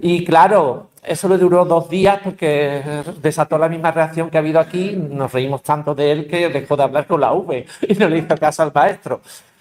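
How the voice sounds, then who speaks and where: With fairly even intonation and a fairly high pitch, a man talks as noticeable background noise runs underneath. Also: moderate pace. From Andalusia, Seville. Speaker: linguistics professor, panelist. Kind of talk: panel discussion. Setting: university panel with audience. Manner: hesitant, many fillers.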